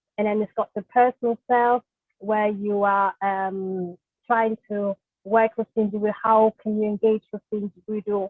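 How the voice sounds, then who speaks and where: A woman speaks in a German accent at a moderate pace. Her fairly high pitch stays monotone and flat. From Germany. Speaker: social worker. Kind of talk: webinar presentation. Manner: hesitant, many fillers.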